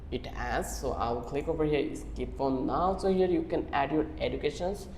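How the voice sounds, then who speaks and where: Fairly slow speech in a Bangladeshi accent, with noticeable background noise. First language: Bengali. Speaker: online tutorial creator. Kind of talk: tutorial.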